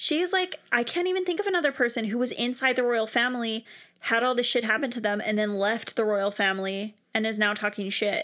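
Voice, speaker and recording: A woman's fairly high, bright and sharp voice, animated, with lively intonation and a fairly quick pace. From Canada. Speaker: podcast co-host. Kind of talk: casual chat.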